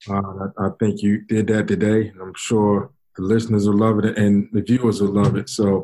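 A man with a New York accent and a fairly low pitch. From Brooklyn, New York. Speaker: podcast host. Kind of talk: casual chat.

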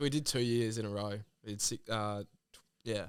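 A man's fairly low voice with an Australian accent at a fairly slow pace. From Western Sydney, Australia. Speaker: band musician. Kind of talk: casual chat.

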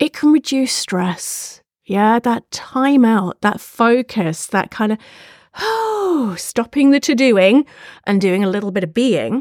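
Someone with a British accent speaks very slowly with lively intonation, in a dry, close sound with no echo on a very clean recording with a silent background. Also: woman, fairly high pitch for a woman. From UK. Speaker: podcast host and imposter syndrome speaker. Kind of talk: solo podcast monologue.

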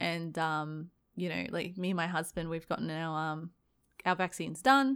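This is a plain, everyday voice that moves at a moderate pace with ordinary pitch variation. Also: woman, fairly low pitch for a woman. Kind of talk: casual chat over drinks. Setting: video call.

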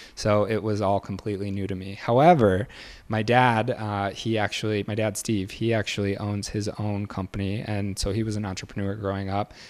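Recorded very cleanly against a silent background, a man speaks in a monotone, flat intonation at a fairly low pitch. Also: fairly quick pace. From Michigan, near Detroit. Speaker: realtor. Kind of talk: interview.

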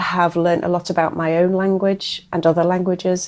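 A woman with an English accent keeps a medium pitch, moderate pace and fairly even intonation in a very clean recording with a silent background. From England. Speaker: professor of second language education. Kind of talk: interview.

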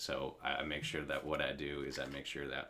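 A man's very deep, low voice with vocal fry and a bright, sharp tone, at a moderate pace. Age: 30s. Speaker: college writing tutor. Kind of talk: casual interview chat. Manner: halting, many repetitions and fillers.

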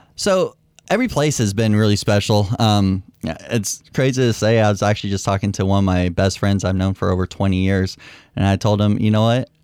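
A man with an American accent, fairly low pitch, fairly quick pace, fairly even intonation and very even loudness, an ordinary speaking voice, very clean recording over a silent background. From Bay Area, California. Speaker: Air Force veteran. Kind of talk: casual chat. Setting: studio.

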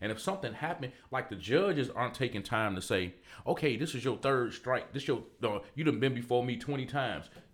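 Speaking fairly quickly in an ordinary speaking voice, a man keeps a medium pitch with ordinary pitch variation. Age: 40s. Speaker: barber and entrepreneur. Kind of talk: interview conversation.

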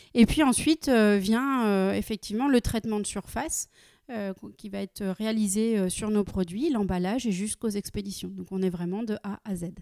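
This very clean recording has a silent background and a woman speaking at a moderate pace. Her pitch is medium, and it varies in an ordinary way. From France, Nancy (Lorraine). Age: 30s. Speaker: company director. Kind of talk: interview. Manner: frequent hesitations (euh).

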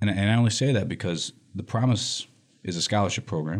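This man's voice sits fairly low and moves at a very fast pace. His pitch varies in an ordinary way. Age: 40s. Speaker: scholarship program director. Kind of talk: radio interview. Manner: animated.

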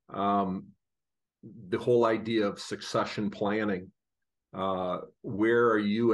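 In a flat monotone, a man speaks at a fairly low pitch. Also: quiet background. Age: 60s. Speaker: financial advisor co-host. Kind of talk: interview.

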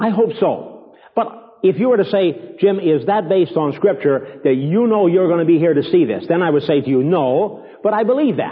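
A man talks at a high pitch and a moderate pace, his intonation lively, while noticeable background noise carries on. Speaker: preacher teaching ministers. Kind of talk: teaching sermon to ministry students. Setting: live meeting with audience.

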